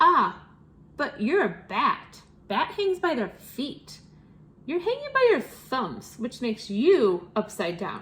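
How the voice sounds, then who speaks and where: In a loud, put-on character voice pitched high, a woman speaks at a fairly slow pace. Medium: read story.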